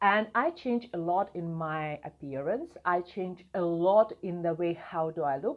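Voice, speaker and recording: This speaker has a non-native accent. The pace is fairly slow. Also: woman. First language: not English. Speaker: video marketing coach. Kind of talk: vlog talk to camera.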